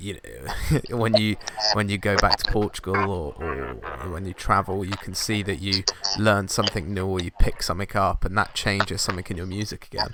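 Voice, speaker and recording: Against noticeable background noise, a man talks with a British accent. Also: fairly low pitch for a man, ordinary pitch variation, moderate pace. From UK. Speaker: podcast host, photographer. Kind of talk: casual interview chat. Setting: video call.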